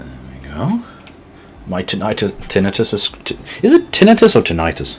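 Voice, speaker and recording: Over noticeable background noise, a man talks at a moderate pace with long, frequent pauses. His loudness swings widely. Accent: slight British. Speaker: streamer building model kits. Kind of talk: casual live-stream chat. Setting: live stream. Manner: halting, many restarts and fillers.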